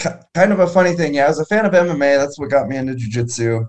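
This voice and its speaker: A man talks with ordinary pitch variation. He has an ordinary speaking voice. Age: 30s. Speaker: martial arts instructor. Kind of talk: casual chat.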